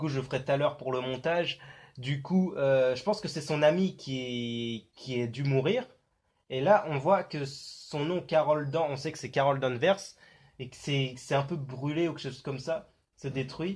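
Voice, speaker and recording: Against a quiet background, a somewhat breathy man speaks at a fairly slow pace and fairly high pitch, with ordinary pitch variation and big swings in loudness. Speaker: YouTuber analyzing film trailers. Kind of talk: casual video commentary. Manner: hesitant, many fillers.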